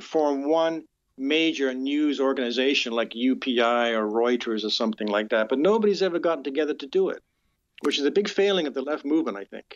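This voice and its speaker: A man with a Canadian accent speaks at a fairly quick pace in a normal speaking voice, his pitch fairly high. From Canada (born in UK). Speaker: criminal defense lawyer. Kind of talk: interview. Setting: phone call.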